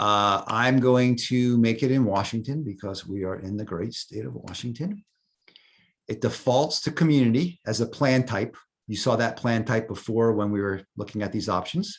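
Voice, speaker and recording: A man speaks in a New York accent at a medium pitch. His pace is moderate, with ordinary pitch variation. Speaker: software volunteer presenter. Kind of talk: tutorial. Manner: casual, hesitant with fillers.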